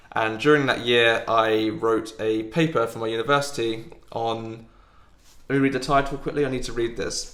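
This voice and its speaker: Speaking with an English accent, a man of medium pitch keeps a moderate pace and fairly even intonation amid audible room echo. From England. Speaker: football podcast host. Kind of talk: casual chat. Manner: hesitant.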